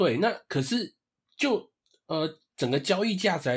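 A man speaks at a moderate pace while his pitch swings very widely. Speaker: baseball podcast co-host. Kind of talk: casual chat. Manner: animated.

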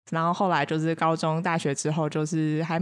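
An ordinary speaking voice at a fairly quick pace. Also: woman. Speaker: counseling psychologist. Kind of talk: casual chat.

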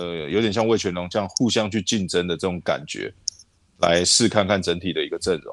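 A man with a very deep, low pitch speaks at a fairly quick pace and with fairly even intonation on a very clean recording over a silent background. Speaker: baseball scout and podcast co-host. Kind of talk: casual chat. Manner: halting, many fillers.

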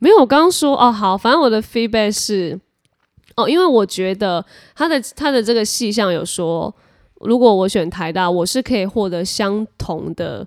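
A woman with a normal speaking voice talks at a moderate pace with lively intonation and a fairly high pitch, recorded very cleanly against a silent background. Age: 20s. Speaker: entertainment host and podcast co-host. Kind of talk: casual chat.

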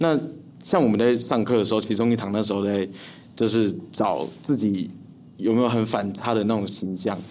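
At a moderate pace with long, frequent pauses, a man with a fairly low pitch and ordinary pitch variation speaks amid audible room echo. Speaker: young comedy actor. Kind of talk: casual interview chat.

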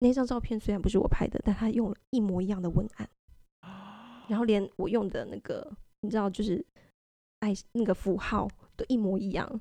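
Delivered at a fairly quick pace yet with long, frequent pauses, the dark, mellow voice keeps a fairly even intonation in a dry, close sound with no echo. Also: woman, fairly high pitch for a woman. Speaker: website staff editor, co-host. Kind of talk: casual chat. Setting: company studio.

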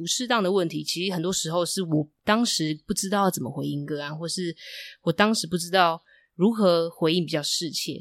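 An ordinary speaking voice from a woman, fairly low in pitch with ordinary pitch variation, at a fairly quick pace, on a very clean recording with a silent background. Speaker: marriage and family therapist, podcast host. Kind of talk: casual chat.

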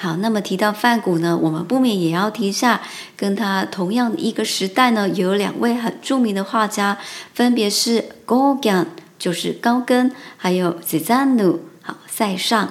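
Against noticeable background noise, a woman speaks at a very slow pace, her medium pitch showing ordinary pitch variation. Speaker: Japanese language teacher. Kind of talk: language lesson. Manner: halting.

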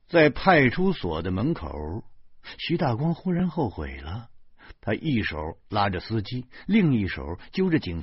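A natural voice reading aloud

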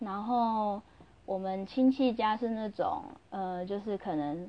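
A woman speaks loudly at a fairly slow pace in a medium pitch. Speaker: podcaster. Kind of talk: casual monologue. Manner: normally loud; normally lively.

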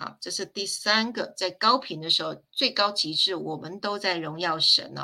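A woman's speech at a moderate pace, with hardly any pauses and big swings in loudness. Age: 50s. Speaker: spiritual teacher. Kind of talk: livestream lecture.

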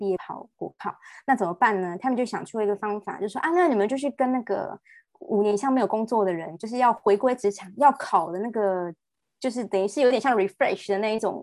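A woman talks at a fairly quick pace in an unremarkable speaking voice. Her pitch is fairly high, with ordinary variation. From Taiwan. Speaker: nurse. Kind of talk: interview conversation.

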